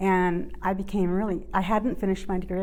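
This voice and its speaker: A woman with a dark, mellow tone talks at a very fast pace amid audible room echo. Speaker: archaeologist. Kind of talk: oral history interview.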